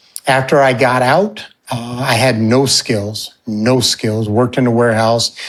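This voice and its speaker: A man speaks in an ordinary speaking voice with an American accent. His pitch is medium and his intonation fairly even. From upstate New York and Alaska. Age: 60s. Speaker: fundraising consultant and mentor. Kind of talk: podcast interview, life story.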